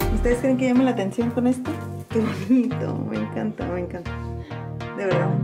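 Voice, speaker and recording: Clear music plays in the background as the speaker goes at a fairly quick pace broken by long, frequent pauses. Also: woman. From Mexico. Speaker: content creator. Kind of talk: casual vlog talk to camera. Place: shop. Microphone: phone near.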